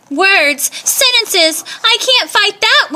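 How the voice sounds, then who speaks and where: A woman uses a put-on character voice, squeaky and extremely high in pitch. She speaks at a fairly slow pace. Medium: read story. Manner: sneering, then whimpering.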